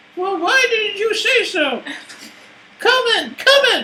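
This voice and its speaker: A squeaky, extremely high put-on character voice at a fairly slow pace. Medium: actual play. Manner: brisk, brusque.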